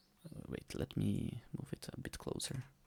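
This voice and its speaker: This man speaks with a non-native accent, recorded with a dry, close sound and no echo. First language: not English. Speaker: 3D artist. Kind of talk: tutorial. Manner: casual, with hesitations.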